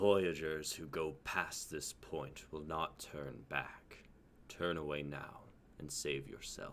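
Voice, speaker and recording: A man in a put-on character voice speaks at a fairly slow pace, very deep and low, rumbling and resonant, over clear background noise. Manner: ominous, warning.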